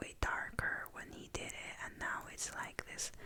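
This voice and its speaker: There is noticeable background noise. Through it, a woman whispers at a fairly slow pace. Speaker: ASMR content creator. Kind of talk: ASMR storytime whisper, rambling personal story. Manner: whispered, soft-spoken, calming.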